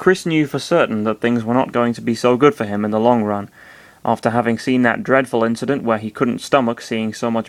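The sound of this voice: Unforced voice, reading aloud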